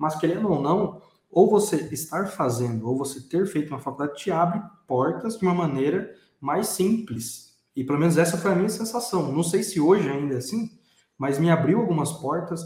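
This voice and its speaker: A man with a high pitch talks at a moderate pace with lively intonation amid audible room echo. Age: 20s. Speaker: podcast host. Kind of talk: casual chat.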